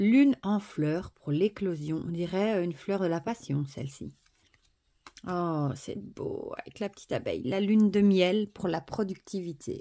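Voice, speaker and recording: A woman speaks in a dark, mellow tone at a medium pitch. Her pace is fairly slow, with ordinary pitch variation. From Belgium (Wallonia). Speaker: oracle deck reviewer. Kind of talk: product review / unboxing. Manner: animated, enthusiastic; hesitant, many fillers.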